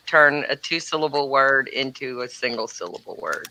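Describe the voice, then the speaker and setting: A woman talks with an American accent, with noticeable background noise behind her. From East Texas.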